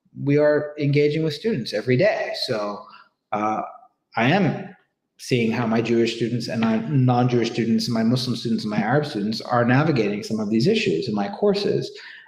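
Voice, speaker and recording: With a medium-pitched, somewhat breathy voice, a man talks at a fairly quick pace. His intonation is lively, and the room echo is audible. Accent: American. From United States. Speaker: professor. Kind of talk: panel discussion. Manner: hesitant, many fillers and repetitions.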